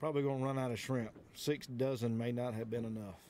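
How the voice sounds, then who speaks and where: Light background noise behind a man, the sound dry and echo-free. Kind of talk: casual vlog chat. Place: boat.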